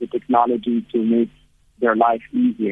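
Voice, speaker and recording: This man speaks at a medium pitch with a monotone, flat intonation. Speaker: founder of an outdoor therapy group. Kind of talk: radio interview. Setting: phone call. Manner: halting. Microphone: bad line, hard to hear.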